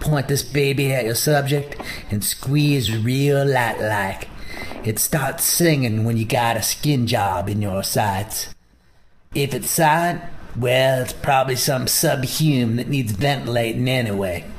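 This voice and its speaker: Putting on a gruff character voice, a man speaks at a medium pitch and a fairly slow pace. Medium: machinima. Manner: gruff, profane.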